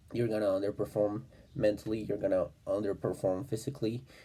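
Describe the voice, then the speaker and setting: With a non-native accent, a man talks at a medium pitch in a dark, mellow tone with fairly even intonation. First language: not English. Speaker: self-improvement vlogger. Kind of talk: casual monologue. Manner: halting, many fillers.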